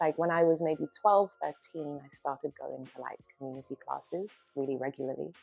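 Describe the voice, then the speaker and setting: With a British accent, a woman talks at a very deep, low pitch and ordinary pitch variation. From UK. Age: 30s. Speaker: dance artist and movement psychotherapist. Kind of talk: documentary interview monologue. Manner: casual, lots of filler words.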